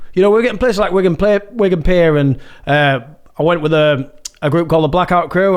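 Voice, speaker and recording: A man speaks at a very fast pace with a high pitch. He talks with a Yorkshire accent. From Yorkshire, Malton. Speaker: musician and MC. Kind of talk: casual chat.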